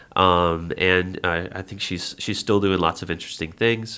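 A man speaks with an American accent at a very deep, low pitch. His tone is bright and sharp. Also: very clean recording, silent background. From US South, New Orleans. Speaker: pipa player and electronic music producer. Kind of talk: interview conversation. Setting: studio. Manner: halting, many fillers.

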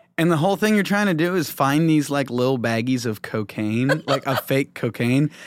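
With hardly any pauses, a man with a plain, everyday voice talks at a fairly high pitch using lively intonation. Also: moderate pace. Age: 20s. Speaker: comedian. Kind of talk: casual chat.

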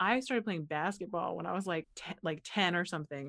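Over a silent background, a woman with an unremarkable speaking voice and an American accent talks at a moderate pace, fairly low in pitch, with ordinary pitch variation. The very clean recording has a dry, close sound with no echo. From Butler, Pennsylvania. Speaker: actress and writer, teaches public speaking. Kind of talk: casual interview chat. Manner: filler-heavy, says 'like' often.

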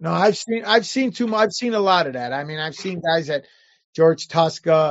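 With an American accent, a man speaks high in pitch with lively intonation. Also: moderate pace. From Chicago, North Side. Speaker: comic book artist and independent creator. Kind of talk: casual interview.

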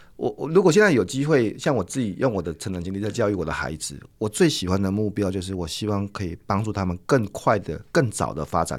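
A man speaks at a fairly quick pace with hardly any pauses, a fairly low pitch and lively intonation, in a very clean recording with a silent background. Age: 50s. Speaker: corporate trainer and author. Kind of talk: interview. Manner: hearty laugh.

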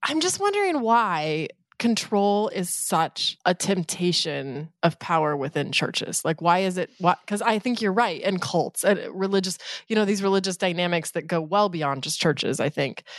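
Against a quiet background, a woman of medium pitch speaks in an animated tone at a moderate pace with ordinary pitch variation. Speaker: podcast co-host. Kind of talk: casual chat and interview. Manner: animated, laughs often.

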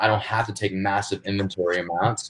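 Against a quiet background, a man speaks with a somewhat breathy voice. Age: 20s. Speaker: e-commerce entrepreneur. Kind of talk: casual interview.

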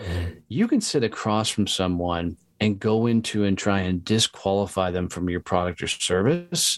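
A man with an unremarkable speaking voice talks in a fairly low pitch with ordinary pitch variation. The recording is very clean, with a silent background. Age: 40s. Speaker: entrepreneur and sales trainer. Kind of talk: casual interview.

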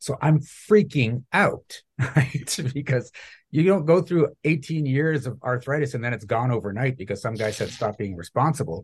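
A somewhat breathy man of medium pitch speaks at a moderate pace with lively intonation. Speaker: mindset coach for entrepreneurs. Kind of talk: podcast interview.

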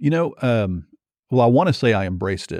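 The speaker is a man with a dark, mellow tone. The background is quiet. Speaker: pastor. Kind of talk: casual panel discussion on church leadership.

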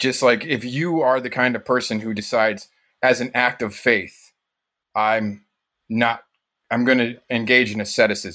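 On a very clean recording with a silent background, a man with an American accent speaks at a fairly slow pace in a bright, sharp tone. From northern Michigan, US. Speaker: dishwasher. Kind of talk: casual chat.

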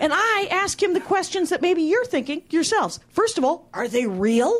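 Moderate pace with an American accent and very wide pitch swings. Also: woman. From Wisconsin, factory town outside Milwaukee. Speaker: comedian. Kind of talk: stand-up. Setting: stage with audience.

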